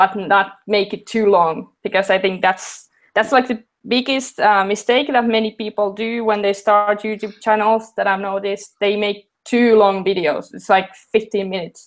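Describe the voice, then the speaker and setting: A woman with a non-native accent speaks at medium pitch and a moderate pace. Her intonation stays fairly even, with hardly any pauses. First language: not English. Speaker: maker YouTuber. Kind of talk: interview. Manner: halting.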